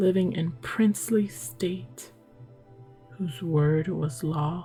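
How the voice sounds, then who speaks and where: Whispering softly over music in the background, a woman speaks at a very slow pace in a calm tone. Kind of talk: sleep story. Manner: soft-spoken, calm; whispered.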